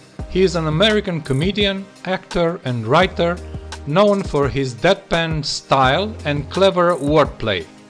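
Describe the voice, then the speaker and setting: With music in the background, a man speaks at a fairly slow pace, his fairly high pitch carried by lively intonation. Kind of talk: reaction video intro narration.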